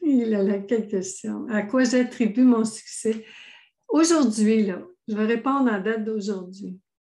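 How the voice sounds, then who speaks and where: Against a quiet background, a woman with a fairly high pitch and a dark, mellow tone speaks very slowly with ordinary pitch variation. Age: 60s. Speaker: author, thought coach and speaker. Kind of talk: interview. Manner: animated.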